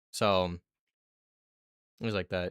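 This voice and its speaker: A mumbling man, dry and close with no echo, on a very clean recording with a silent background. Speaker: video game streamer. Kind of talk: live stream commentary.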